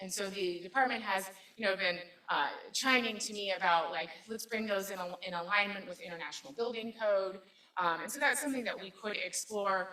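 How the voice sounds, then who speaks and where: Amid noticeable background noise, a woman talks at a fairly quick pace and medium pitch with ordinary pitch variation. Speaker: city government manager presenting budget. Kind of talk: public meeting budget presentation. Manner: halting, many fillers.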